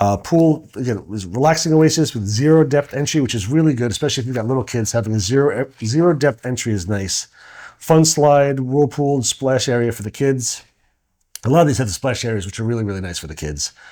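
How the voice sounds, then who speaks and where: With a slight New York accent, a man talks in a dark, mellow tone and lively intonation. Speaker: co-host and vacation rental business owner. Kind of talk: casual podcast chat. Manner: halting with frequent repeated words.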